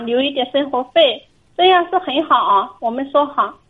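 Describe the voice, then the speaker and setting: This woman has a high pitch and speaks at a moderate pace. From Hunan, China. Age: 20s. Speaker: caller, shoe factory temp worker. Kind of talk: phone-in advice call.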